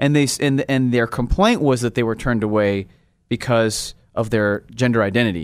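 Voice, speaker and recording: With a normal speaking voice, a man talks at a moderate pace and medium pitch with ordinary pitch variation and very even loudness on a very clean recording with a silent background. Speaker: legal advocate. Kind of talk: interview. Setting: studio.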